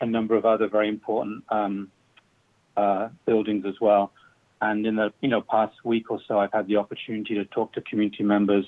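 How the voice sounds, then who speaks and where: A man's fairly low-pitched, monotone, flat delivery at a fairly quick pace. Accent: strong British. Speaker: public commenter, community football club founder. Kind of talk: public comment at government meeting. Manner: halting, many fillers.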